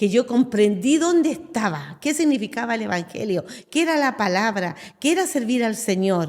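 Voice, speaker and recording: In a very clean recording with a silent background, a woman speaks at a moderate pace with fairly high pitch, very wide pitch swings and vocal fry. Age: 60s. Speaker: pastor. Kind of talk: testimony.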